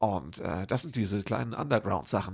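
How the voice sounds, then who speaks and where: On a very clean recording with a silent background, a man speaks with vocal fry at a moderate pace. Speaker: podcast host and cabaret artist. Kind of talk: podcast intro and outro narration; casual chat. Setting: empty café with some reverb.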